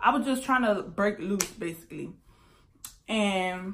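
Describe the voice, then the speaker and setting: Her pitch varies in an ordinary way as the woman speaks. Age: 20s. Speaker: YouTuber; vlogger. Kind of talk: storytime vlog. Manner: casual, filler-heavy. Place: home room. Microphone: phone near.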